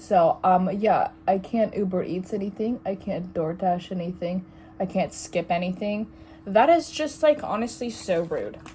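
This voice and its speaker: This woman's medium-pitched voice varies in an ordinary way while noticeable noise runs in the background. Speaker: vlogger. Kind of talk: casual chat. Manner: rambling, halting.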